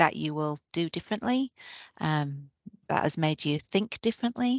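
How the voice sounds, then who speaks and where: A woman speaks at a moderate pace with a Yorkshire accent, her pitch fairly low. The sound is dry and close, with no echo. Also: quiet background. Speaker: nurse manager. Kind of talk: webinar presentation. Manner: hesitant, many fillers.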